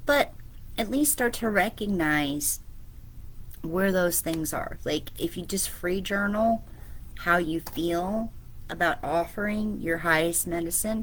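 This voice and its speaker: Her speech is very slow. This woman keeps a medium pitch and ordinary pitch variation. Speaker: spiritual business coach. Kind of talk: online coaching talk. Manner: casual, filler-heavy.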